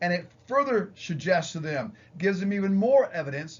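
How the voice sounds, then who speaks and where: Loud and lively in intonation, a man speaks at a moderate pace with audible room echo. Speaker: psychology professor. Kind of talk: lecture.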